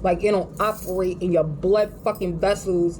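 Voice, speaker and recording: A woman with a New York accent speaks over noticeable background noise. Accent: New York City. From New York City. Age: 40s. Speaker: vlogger. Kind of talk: casual monologue rant. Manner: animated.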